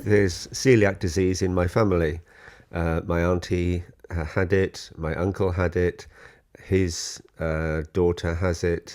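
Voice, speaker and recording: In a South Wales Valleys accent, a man speaks fairly slowly in a very deep, low voice with fairly even intonation. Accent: Welsh Valleys. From Wales, Welsh Valleys. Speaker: software developer. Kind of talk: casual family interview. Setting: family home.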